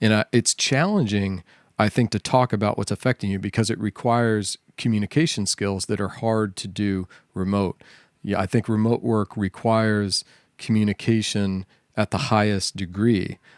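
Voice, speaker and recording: A man with an American accent speaks in a plain, everyday voice, his fairly even intonation captured in a dry, close sound with no echo on a very clean recording against a silent background. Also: fairly low pitch for a man, moderate pace. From US South. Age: 40s. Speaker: software engineer. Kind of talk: casual chat.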